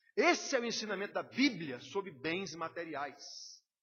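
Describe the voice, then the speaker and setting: The man speaks at a high pitch. His pitch swings very widely. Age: 60s. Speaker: pastor. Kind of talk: sermon. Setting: church.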